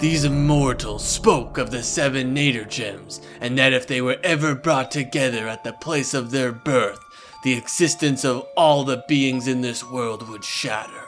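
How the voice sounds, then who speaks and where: Clear music plays behind a man doing a cartoonish character voice. He keeps a moderate pace at a medium pitch. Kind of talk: epic fantasy narration.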